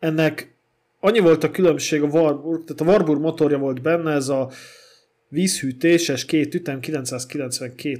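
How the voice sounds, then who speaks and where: With a plain, everyday voice, a man speaks at a moderate pace, his pitch fairly high and ordinary in its variation. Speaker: podcast co-host about old cars. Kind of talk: casual chat.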